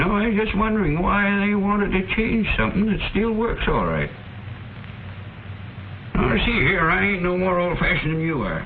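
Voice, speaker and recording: A man with a high pitch and very even loudness at a moderate pace, with long, frequent pauses. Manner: grumpy, folksy.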